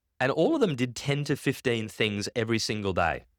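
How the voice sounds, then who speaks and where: A man talks in an animated tone at a medium pitch, with lively intonation and some vocal fry. The recording is very clean, with a silent background. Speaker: conference keynote speaker. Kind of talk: keynote talk. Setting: stage with audience. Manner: fast.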